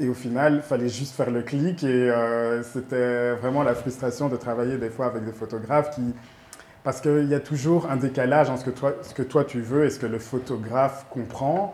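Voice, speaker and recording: This man talks at a moderate pace in a medium pitch. His intonation stays fairly even. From Belgium, Brussels. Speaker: make-up artist and photographer. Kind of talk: interview. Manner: hesitant, many fillers.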